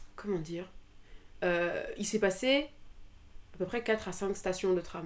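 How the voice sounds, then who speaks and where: A woman's medium-pitched voice at a very slow pace, with lively intonation. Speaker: student and amateur musician. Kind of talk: personal testimony.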